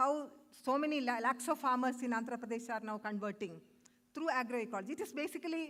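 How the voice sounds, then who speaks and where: At a fairly quick pace, a woman with a high voice talks with ordinary pitch variation. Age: 60s. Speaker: conference speaker. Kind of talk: conference talk. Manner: halting.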